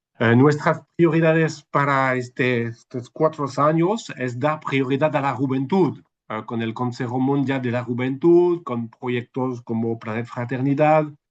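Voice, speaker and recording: At a fairly slow pace, a man speaks with a French accent, medium pitch and ordinary pitch variation. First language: French (speaking Spanish). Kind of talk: webinar talk. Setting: video call. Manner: halting.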